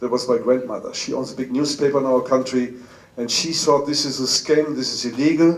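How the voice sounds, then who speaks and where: A man's fairly quick, monotone delivery with flat intonation over noticeable background noise. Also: medium pitch for a man. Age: 60s. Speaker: business speaker. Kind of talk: motivational talk. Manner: halting.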